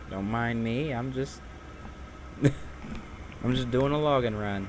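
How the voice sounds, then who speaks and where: With audible room echo, a man talks at a very slow pace in a relaxed tone, his medium pitch showing ordinary variation. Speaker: gaming streamer. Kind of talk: live gameplay commentary. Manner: casual, relaxed.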